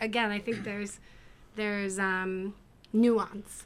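With an American accent, a woman speaks at a fairly slow pace in a bright, sharp tone. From United States. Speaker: podcast guest. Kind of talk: casual chat.

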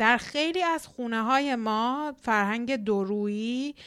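A woman speaks very slowly at a fairly high pitch with ordinary pitch variation. The recording is very clean, with a silent background. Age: 30s. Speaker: podcast host, immigration psychology counselor. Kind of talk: solo podcast monologue. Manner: warm, animated.

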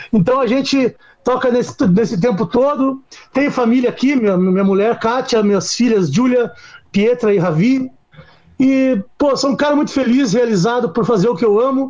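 Ordinary pitch variation marks this speech, which keeps a moderate pace. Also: man, extremely high pitch for a man. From Curitiba, southern Brazil. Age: 40s. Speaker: rock musician. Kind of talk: casual interview chat.

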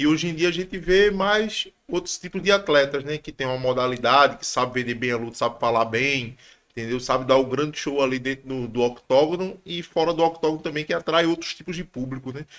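A man with a plain, everyday voice speaks at a fairly quick pace, barely stopping to pause. His pitch is fairly high with ordinary variation. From Pernambuco, Brazil. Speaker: MMA fighter. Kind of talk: casual chat.

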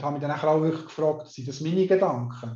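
A man speaks with a dark, mellow tone. His pace is moderate and his pitch varies in an ordinary way. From Switzerland, canton Solothurn. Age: 50s. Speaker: hypnotherapist and mental coach. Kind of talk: interview.

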